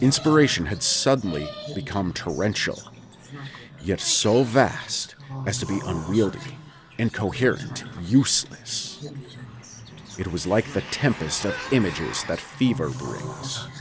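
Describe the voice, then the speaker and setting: A man at medium pitch and a fairly slow pace, with very wide pitch swings, long, frequent pauses and noticeable background noise. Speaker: audiobook narrator. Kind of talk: classic horror story reading.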